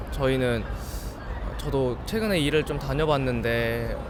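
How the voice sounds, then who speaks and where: A man rushes through his words very fast, with room echo audible and background noise clearly present. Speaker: university student. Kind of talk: street interview.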